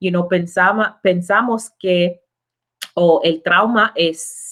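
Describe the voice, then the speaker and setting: A woman talks at a very slow pace, her pitch fairly low. The intonation is fairly even. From Jamaica, then the Bronx from age nine. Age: 20s. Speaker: immigration lawyer, show host. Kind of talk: casual live stream chat, bilingual English and Spanish. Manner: casual, relaxed.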